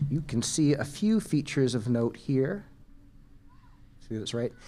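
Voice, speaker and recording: A man with a Canadian accent, medium pitch and lively intonation. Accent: Canadian, noticeable. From Canada (Vancouver). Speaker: natural hazards geologist. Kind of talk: conference talk. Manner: casual, hesitant with fillers.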